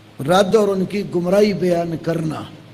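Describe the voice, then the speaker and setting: The voice has fairly even intonation, heard with audible room echo and noticeable background noise. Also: man. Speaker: Islamic scholar answering questions. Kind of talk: religious Q&A lecture.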